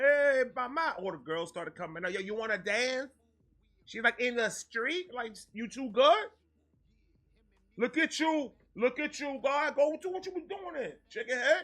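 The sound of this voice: A man talks at a fairly slow pace with lively intonation. His pitch is extremely high and his tone bright and sharp.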